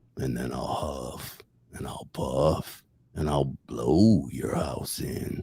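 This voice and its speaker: In a put-on character voice, a man speaks very slowly with a raspy, very deep, low pitch and a menacing tone. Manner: menacing, boastful.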